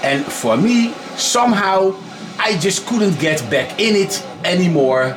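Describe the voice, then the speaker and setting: A man speaks with a Dutch accent and very wide pitch swings, with audible room echo and noticeable background noise. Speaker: gaming YouTuber. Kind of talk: casual gaming commentary. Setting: bedroom. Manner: halting.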